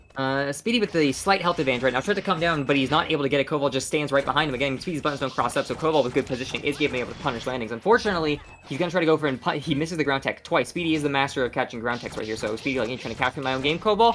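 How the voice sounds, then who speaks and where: A man's fairly high voice at a very fast pace, hardly any pauses, ordinary pitch variation and noticeable background noise. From Germany. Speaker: esports commentator. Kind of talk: live commentary.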